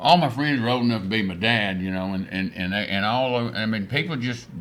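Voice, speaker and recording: A man with a West Texas accent, medium pitch and ordinary pitch variation, with music in the background and audible room echo. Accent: West Texas drawl. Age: 70s. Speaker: rancher and oil businessman. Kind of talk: casual interview chat. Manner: halting, full of fillers and restarts.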